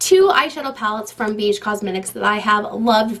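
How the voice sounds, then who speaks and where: Fairly quick female speech under noticeable background noise. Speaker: beauty YouTuber. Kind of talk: casual product review. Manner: fast; animated.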